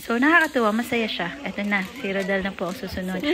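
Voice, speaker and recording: A woman's voice amid noticeable background noise. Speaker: vlogger. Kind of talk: casual vlog narration. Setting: outdoors. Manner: loud.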